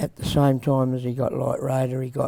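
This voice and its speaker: A man speaks with a strong Australian accent at a medium pitch and a fairly slow pace. His tone is dark and mellow, with flat, monotone intonation. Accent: broad Australian. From South Australia, Adelaide. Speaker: harness racing trainer. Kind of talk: casual interview. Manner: halting.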